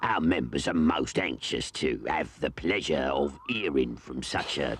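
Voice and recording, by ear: With clear background noise behind him, a man performs a cartoonish character voice at a very deep, low pitch, moving at a moderate pace with lively intonation.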